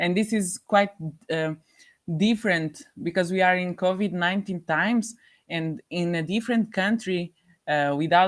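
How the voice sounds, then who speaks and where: In a Portuguese accent, a woman speaks at a fairly slow pace with a fairly low pitch and ordinary pitch variation. The recording is very clean, with a silent background. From Portugal. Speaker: volunteer. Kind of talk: interview. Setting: studio. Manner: halting.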